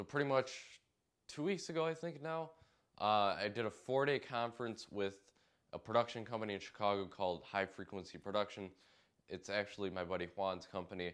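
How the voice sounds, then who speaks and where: Against a quiet background, a man talks at a fairly quick pace in a fairly low pitch with lively intonation. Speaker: DJ vlogger. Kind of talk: casual vlog chat. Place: home room. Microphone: lapel.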